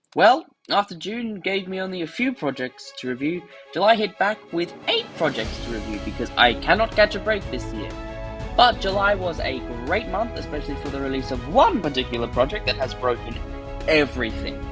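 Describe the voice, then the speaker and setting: With music in the background, a man talks at a fairly quick pace in an enthusiastic tone. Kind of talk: casual media review talk.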